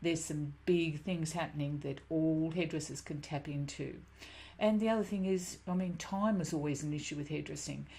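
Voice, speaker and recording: In a room with audible echo, a woman speaks with a very deep, low pitch and a dark, mellow, somewhat breathy tone, her intonation fairly even. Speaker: business coach, former hairdresser. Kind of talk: webinar presentation. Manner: fast.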